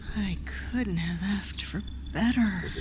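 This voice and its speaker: The speaker uses a put-on character voice. Loud background noise fills the recording. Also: moderate pace. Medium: stage play. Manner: whispering, cold.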